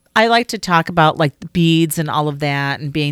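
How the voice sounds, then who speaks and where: Fairly quick speech from a woman, dry and close with no echo, on a very clean recording with a silent background. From Chicago. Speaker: podcast co-host. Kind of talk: casual chat.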